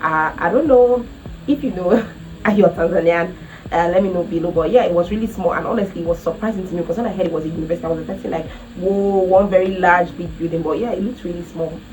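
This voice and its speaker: A woman with a Nigerian accent talks very fast in an animated tone at a fairly low pitch with ordinary pitch variation, over noticeable background noise. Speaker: travel vlogger. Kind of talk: casual vlog talk to camera.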